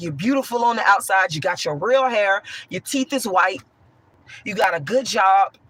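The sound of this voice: With a bright, sharp tone that is also hoarse, a woman speaks at a moderate pace with lively intonation.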